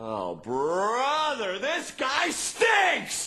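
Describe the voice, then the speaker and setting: Shouting in a put-on character voice, a man hits an extremely high pitch. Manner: hissing, disgusted.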